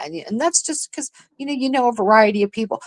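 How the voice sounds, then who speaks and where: Very fast and animated, a woman speaks at a fairly high pitch with very wide pitch swings in a dry, close sound with no echo. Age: middle-aged. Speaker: live streamer. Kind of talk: casual chat.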